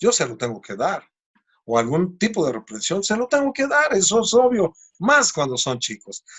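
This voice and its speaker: This man's high voice makes very wide pitch swings at a moderate pace. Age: 60s. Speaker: preacher. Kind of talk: sermon.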